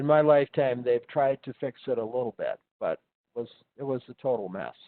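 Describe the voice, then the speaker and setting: Fairly quick speech from a man, medium in pitch. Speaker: paralegal studies instructor. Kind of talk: live online lecture. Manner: halting, many fillers.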